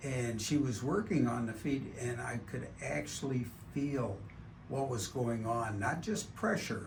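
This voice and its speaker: The speaker moves at a fairly slow pace with lively intonation. Audible room echo surrounds the voice. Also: man. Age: 70s. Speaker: patient. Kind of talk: testimony.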